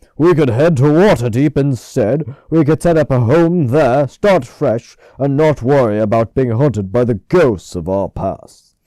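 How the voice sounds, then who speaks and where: A put-on character voice with lively intonation at a moderate pace. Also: man, medium pitch for a man. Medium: read story. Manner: gentle, earnest.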